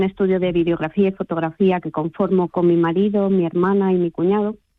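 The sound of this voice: Here a woman speaks at a fairly low pitch. Her intonation is fairly even. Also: dry, close sound with no echo.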